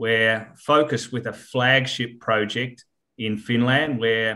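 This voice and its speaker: Here a man speaks with an Australian accent at medium pitch. His intonation is monotone and flat. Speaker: mining company chairman. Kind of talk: interview. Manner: hesitant, many fillers.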